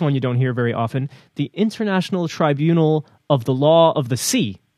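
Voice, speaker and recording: In a New Jersey accent, a man with a fairly high voice speaks at a moderate pace with lively intonation. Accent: American, New Jersey. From US, New Jersey. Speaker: news podcast co-host. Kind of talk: casual news discussion. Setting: remote audio call.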